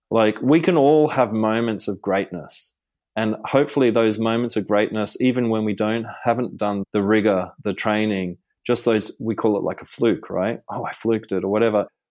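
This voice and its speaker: Ordinary pitch variation and a moderate pace in a man's fairly low voice. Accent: Australian. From Australia. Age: 50s. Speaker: meditation teacher and spiritual mentor. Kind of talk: casual interview.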